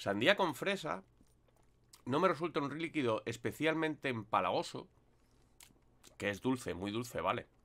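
Here a man talks at a moderate pace with very wide swings in pitch. He pauses often and at length. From Spain. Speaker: vape reviewer YouTuber; product reviewer. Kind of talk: product review monologue. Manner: casual, hesitant with fillers. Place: home room. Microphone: webcam.

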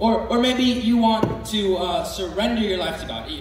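A man's high voice at a fairly slow pace, with ordinary pitch variation, light background noise and audible room echo. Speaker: youth preacher. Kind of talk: sermon. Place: hall.

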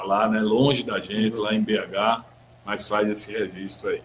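Over light background noise, a man talks at a moderate pace in a plain, everyday voice, fairly low in pitch with fairly even intonation. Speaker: talk show host. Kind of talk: interview. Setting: studio. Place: studio. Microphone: studio mic.

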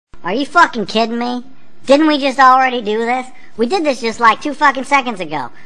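A female-sounding cartoonish character voice speaks at a fairly quick pace with a high pitch. Noticeable background noise sits behind it. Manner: ranting, profane, outraged.

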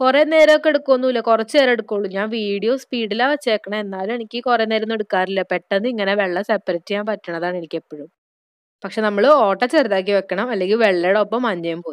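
A woman has a normal speaking voice, fairly high in pitch with ordinary pitch variation. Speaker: beauty YouTuber. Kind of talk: tutorial.

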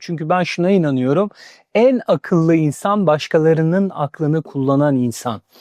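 Against a quiet background with a dry, close sound and no echo, a man speaks at a moderate pace with a fairly high pitch, a dark, mellow tone, and ordinary pitch variation. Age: 40s. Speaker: career speaker. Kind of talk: interview.

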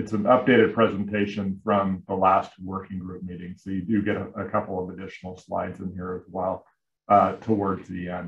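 A man talks in a fairly low pitch with an unremarkable speaking voice. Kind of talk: presentation. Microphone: video call.

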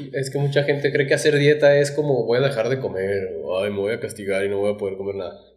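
A man with a Mexican accent speaks at a very fast pace with hardly any pauses. His voice is somewhat breathy. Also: medium pitch for a man, ordinary pitch variation, quiet background. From Mexico. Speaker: podcast co-host. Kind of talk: casual chat. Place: studio. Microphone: studio mic.

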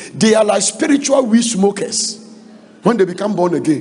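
A man's intonation is lively, and his pace is moderate. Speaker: preacher. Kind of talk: sermon. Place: hall. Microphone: handheld.

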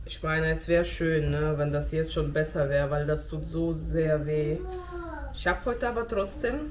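Fairly slow speech from a woman amid noticeable background noise. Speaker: home vlogger. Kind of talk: casual vlog chat. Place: kitchen.

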